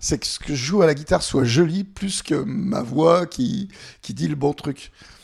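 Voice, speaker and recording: The voice carries vocal fry and lively intonation. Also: man. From France, Annecy (Haute-Savoie). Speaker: singer-songwriter. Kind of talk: interview.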